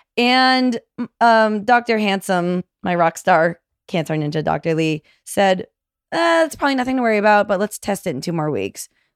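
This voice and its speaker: Recorded very clean with a silent background and a dry, close sound with no echo, a woman with an American accent and a plain, everyday voice speaks at medium pitch and a moderate pace with lively intonation. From Massachusetts, outside Boston. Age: 30s. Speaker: cancer survivor and author. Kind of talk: casual interview.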